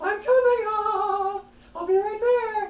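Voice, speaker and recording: A squeaky, female-sounding put-on character voice at an extremely high pitch, delivered at a fairly slow pace. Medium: actual play. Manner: curt, impatient.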